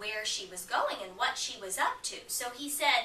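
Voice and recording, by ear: A passage is read aloud in a natural voice.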